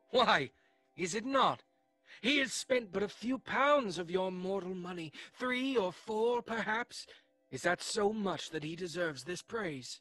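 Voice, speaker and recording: A put-on character voice speaks at a middle pitch and a fairly slow pace. Faint music plays in the background. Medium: audio drama.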